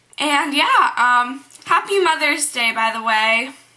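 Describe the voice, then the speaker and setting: Against noticeable background noise, a woman speaks at a high pitch with lively intonation. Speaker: beauty vlogger. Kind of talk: makeup tutorial. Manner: casual, filler-heavy.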